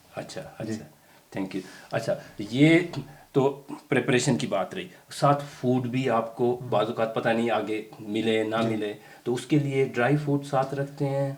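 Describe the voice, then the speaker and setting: With ordinary pitch variation and a medium pitch, this man has a plain, everyday voice. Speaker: interview host. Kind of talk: interview questions.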